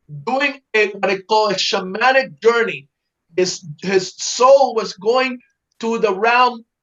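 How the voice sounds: Against a quiet background, a natural reading voice comes through with ordinary pitch variation.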